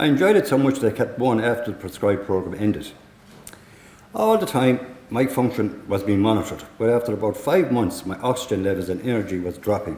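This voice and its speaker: In a Tipperary accent, a man talks at a fairly quick pace and medium pitch with ordinary pitch variation. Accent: Irish (Tipperary). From Ireland, County Tipperary. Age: 60s. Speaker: lung transplant recipient. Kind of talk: prepared testimony speech.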